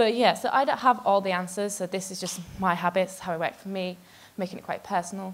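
A woman is speaking. Her pace is fairly quick. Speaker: conference speaker. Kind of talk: talk to an audience. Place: stage. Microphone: handheld.

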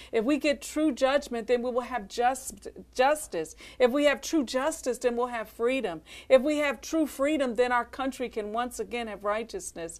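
A woman with an American accent, high in pitch with ordinary variation, at a moderate pace. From Philadelphia. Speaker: minister's wife. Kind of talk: ministry testimony. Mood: earnest, calm conviction. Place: studio. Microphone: lapel.

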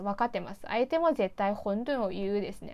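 A woman speaks at a fairly high pitch. Her pace is fairly quick, with ordinary pitch variation. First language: Mandarin Chinese (speaking Japanese). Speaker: YouTuber. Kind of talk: casual vlog monologue. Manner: chatty, laughing. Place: home room.

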